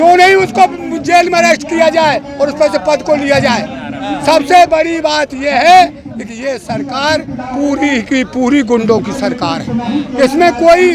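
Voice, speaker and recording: Over music in the background, a man speaks in an animated tone at an extremely high pitch with ordinary pitch variation. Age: 70s. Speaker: farmer. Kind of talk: street interview.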